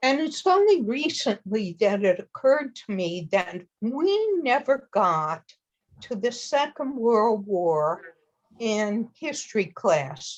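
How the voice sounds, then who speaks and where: At a very slow pace, a woman with an American accent speaks at a fairly high pitch, her voice making very wide pitch swings. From US South, New Orleans. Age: 70s. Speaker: study group participant. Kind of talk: group discussion.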